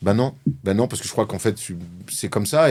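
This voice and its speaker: Speaking very fast, a man comes through on a very clean recording with a silent background. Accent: Marseille. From Marseille, southern France. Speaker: former basketball player turned sports journalist. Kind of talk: interview. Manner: outspoken, direct.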